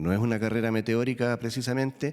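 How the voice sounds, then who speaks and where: Fairly quick speech from a man. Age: 60s. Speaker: prison officers' union representative. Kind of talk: testimony before a parliamentary committee. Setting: parliamentary committee hearing. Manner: halting, with fillers and restarts; formal.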